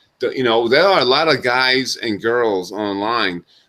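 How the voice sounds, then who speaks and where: A man speaks with a New York accent at a moderate pace and medium pitch. His tone is bright and sharp, with ordinary pitch variation. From US Northeast, Brooklyn New York. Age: 40s. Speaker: talk show host. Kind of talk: casual monologue. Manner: halting.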